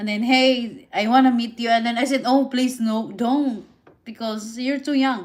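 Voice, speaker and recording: A woman with a Filipino accent speaks at a high pitch and a moderate pace, her intonation fairly even. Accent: Filipina. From Philippines. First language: Visayan and Tagalog. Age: 30s. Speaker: live streamer. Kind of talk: casual live stream chat. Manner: halting, repetitive.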